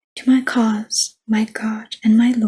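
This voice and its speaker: The voice is soft-spoken. It unfolds at a very slow pace. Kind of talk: ASMR scripture reading.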